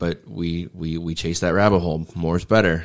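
At a moderate pace, a man speaks in a very deep, low voice. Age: 30s. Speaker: gym owner and fitness coach. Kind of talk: casual interview chat.

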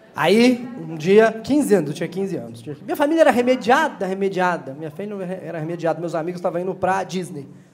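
With hardly any pauses, a man in a high voice speaks in an animated tone with lively intonation and big swings in loudness. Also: fairly quick pace. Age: 40s. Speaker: comedian. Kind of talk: stand-up. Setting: stage with audience.

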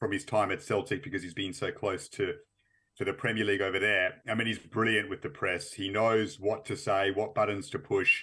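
A man speaks in an Australian accent at a fairly quick pace. His tone is bright and sharp, his pitch fairly low, with ordinary pitch variation. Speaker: football journalist. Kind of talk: interview.

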